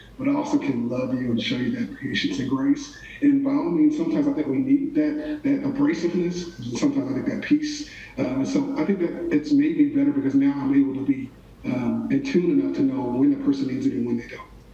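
Speaking very fast, a man is heard with a clear room echo. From Oklahoma City area, US; Oklahoma. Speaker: college dean; interviewee. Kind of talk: interview.

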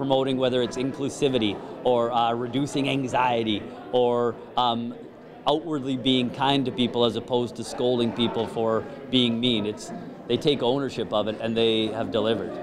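At a moderate pace, a man speaks in a monotone, flat intonation against noticeable background noise. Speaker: event emcee. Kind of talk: interview answer. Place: hall. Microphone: handheld.

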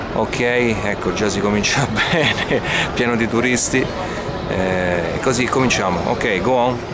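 Clear music plays behind a man speaking at a fairly slow pace with ordinary pitch variation. The sound is dry with no echo. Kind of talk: casual vlog chat. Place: street. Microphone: phone near.

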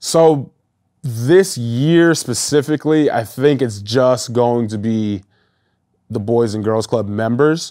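Very slow male speech in a dark, mellow tone with ordinary pitch variation and a quiet background. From New Hampshire, Nashua; New Hampshire. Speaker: former pro football player; interview guest. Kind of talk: interview. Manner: halting, many fillers. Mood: relaxed, upbeat. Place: studio. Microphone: lapel.

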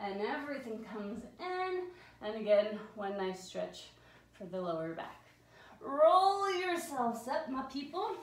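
The woman's voice is fairly high and moves through very wide pitch swings. Room echo can be heard. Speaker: fitness instructor. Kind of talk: guided Pilates workout class, giving spoken exercise cues. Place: home room. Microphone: camera far.

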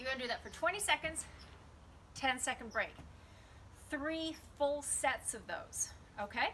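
Over light background noise, a woman speaks at a fairly slow pace in a bright, sharp tone. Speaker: fitness instructor. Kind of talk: guided home workout demo, cueing exercises. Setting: home video recording. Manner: brisk, directive, encouraging; clipped, rhythmic counting cues. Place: garden. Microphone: camera far.

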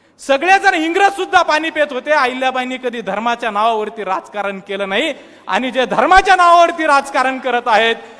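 Over noticeable background noise, a man speaks in a raised, projected voice with an animated tone. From Maharashtra, Buldhana district (Vidarbha). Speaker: student activist. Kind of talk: public speech. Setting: stage with audience.

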